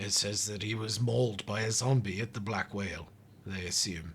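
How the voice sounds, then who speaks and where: A raspy, fairly low-pitched put-on character voice from a man, at a moderate pace over clear background noise. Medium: actual play. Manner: clinical, polite, slightly fussy and hesitant.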